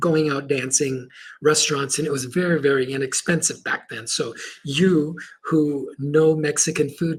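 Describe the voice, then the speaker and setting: A man with a fairly high, somewhat breathy voice talks at a moderate pace. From Chile, moved to US at seven. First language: Spanish. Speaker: motivational speaker and Marine veteran. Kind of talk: podcast interview storytelling. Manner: animated.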